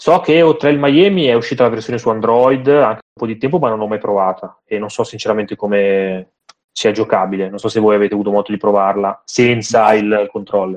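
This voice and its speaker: An ordinary speaking voice, a man at a fairly quick pace with ordinary pitch variation. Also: fairly low pitch for a man. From Milan, northern Italy. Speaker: indie game writer. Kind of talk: podcast interview.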